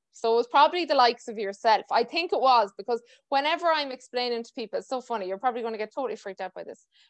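A woman with a western Irish accent, high-pitched and very fast, lively intonation, big swings in loudness, hardly any pauses, dry, close sound with no echo and a quiet background. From Ireland. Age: 20s. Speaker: podcast host and dance teacher. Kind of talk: casual interview chat.

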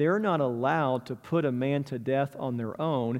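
A man has an ordinary speaking voice at a medium pitch. His pitch variation is ordinary and his pace moderate. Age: 40s. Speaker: pastor. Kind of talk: sermon.

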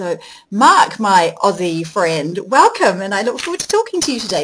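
A somewhat breathy woman's voice at a fairly quick pace, with a New Zealand accent. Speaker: podcast host. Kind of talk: interview.

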